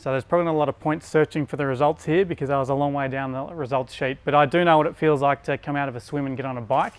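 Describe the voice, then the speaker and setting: With an Australian accent, a man speaks at a fairly high pitch and with fairly even intonation. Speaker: bike fitter. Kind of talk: presentation. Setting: store with audience.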